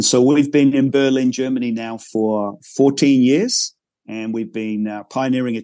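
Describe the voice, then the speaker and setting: In a normal speaking voice, a man talks with fairly even intonation. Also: quiet background. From Northern Ireland, raised abroad in a military family. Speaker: pastor. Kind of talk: interview.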